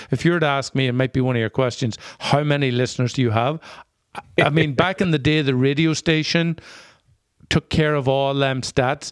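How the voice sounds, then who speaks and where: A man with an Irish accent speaks at a fairly high pitch and a fairly quick pace, with fairly even intonation and very even loudness, yet long, frequent pauses. The sound is dry and close with no echo, on a very clean recording with a silent background. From rural Northern Ireland. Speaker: podcast co-host. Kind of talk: casual interview chat.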